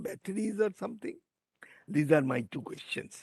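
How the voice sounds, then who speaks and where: A man with a dark, mellow tone and a high pitch. His intonation is lively. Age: 80s+. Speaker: audience member asking questions. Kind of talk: Q&A discussion.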